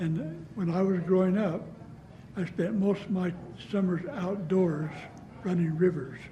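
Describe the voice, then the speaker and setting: A man with an American accent speaks at a fairly slow pace, leaving long, frequent pauses, with a high pitch and fairly even intonation. There is audible room echo. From US West, southeastern Utah. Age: 80s+. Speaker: downwinder and author. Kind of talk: oral history interview. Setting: public library.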